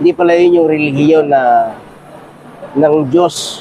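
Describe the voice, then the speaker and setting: A man's fairly high voice comes through noticeable background noise. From Quezon province, Philippines. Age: 40s. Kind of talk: testimony. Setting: outdoors at Mina during Hajj. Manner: halting.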